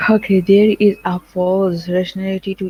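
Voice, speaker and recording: A woman speaks with a Pakistani accent. Her pitch is medium. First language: Urdu or Punjabi. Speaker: nursing lecturer. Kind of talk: online lecture. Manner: halting, many fillers.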